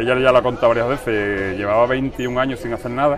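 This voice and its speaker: Amid audible room echo and noticeable background noise, a man rattles along at a very fast pace. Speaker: brotherhood member. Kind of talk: radio interview.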